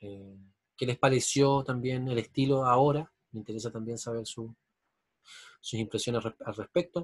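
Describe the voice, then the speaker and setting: A man's somewhat breathy voice, recorded dry and close with no echo, rises and falls a lot in loudness, keeps a fairly even intonation, and breaks into long, frequent pauses. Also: medium pitch for a man, moderate pace. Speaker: university lecturer. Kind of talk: online lecture.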